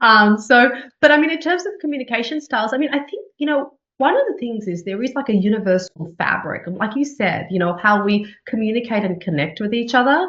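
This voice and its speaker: A woman speaks with a fairly high pitch and very wide pitch swings. Her pace is fairly quick. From Australia. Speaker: TV journalist and news anchor. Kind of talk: interview conversation. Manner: frequent repetitions and fillers.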